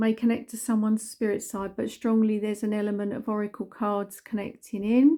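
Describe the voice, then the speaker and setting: This woman has a fairly high pitch and a dark, mellow tone. Her intonation stays fairly even on a very clean recording with a silent background. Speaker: psychic medium. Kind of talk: coffee cup reading.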